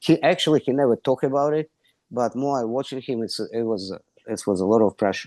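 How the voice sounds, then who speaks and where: This man talks at a fairly quick pace with a dark, mellow tone and ordinary pitch variation. The sound is dry and close with no echo, over a quiet background. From Ukraine. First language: Russian or Ukrainian. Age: 60s. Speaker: wrestling coach. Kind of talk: interview. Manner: non-native, halting phrasing.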